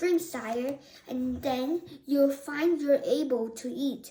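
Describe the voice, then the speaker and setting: A woman uses a shrill put-on character voice with a high pitch. She speaks at a very slow pace. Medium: read story.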